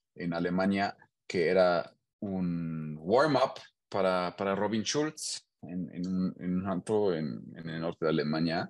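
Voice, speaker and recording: Very slow speech from a man, set against a quiet background. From Germany, Hannover. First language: German (speaking Spanish). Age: 30s. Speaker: engineer and DJ. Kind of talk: casual interview. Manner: halting, repeats words.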